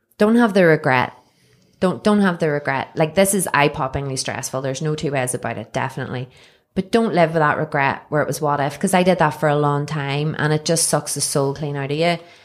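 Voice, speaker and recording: A woman with a Northern Irish accent, very deep and low in pitch, at a fairly quick pace with ordinary pitch variation, in a very clean recording against a silent background. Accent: Northern Irish (Belfast). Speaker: cafe owner. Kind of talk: casual interview chat. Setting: studio.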